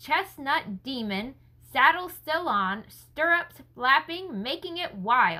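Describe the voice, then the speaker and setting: In a put-on character voice, a woman talks very slowly and high, her pitch swinging very widely. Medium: read story. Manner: low, muttering.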